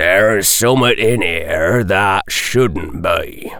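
Putting on a character voice, a man speaks at a very slow pace with low pitch, a fairly bright tone and ordinary pitch variation over faint background noise.

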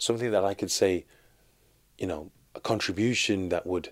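A man's very deep, low voice with a Birmingham accent, fairly even intonation and a moderate pace, on a very clean recording with a silent background. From Birmingham, England (Sparkbrook). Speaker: street artist. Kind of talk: interview. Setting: studio.

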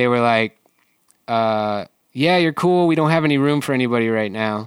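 Fairly quick speech in an American accent with ordinary pitch variation, on a very clean recording with a silent background. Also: man. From US Midwest (Michigan). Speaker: artist and muralist. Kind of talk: casual interview chat.

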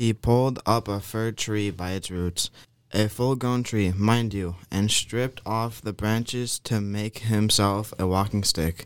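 Slow and fairly low-pitched, a man speaks in a clear, smooth tone with fairly even intonation.

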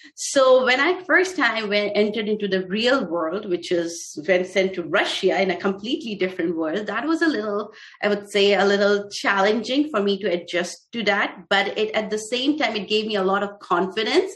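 A woman with an Indian accent at a medium pitch and moderate pace, ordinary pitch variation, and hardly any pauses. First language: Hindi. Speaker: physician and startup founder. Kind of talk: interview. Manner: halting.

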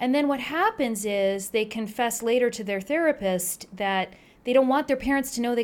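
A woman talks fairly quickly in a plain, everyday voice with an American accent. Her pitch varies in an ordinary way. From New Jersey. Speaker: pediatrician. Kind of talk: interview.

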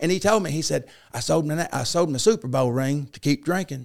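A man talks at a very fast pace with an Arkansas accent. The recording is very clean, with a silent background. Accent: Southern US (Arkansas). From Arkansas, US South. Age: 50s. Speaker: former football coach and teacher in recovery. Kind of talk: testimony.

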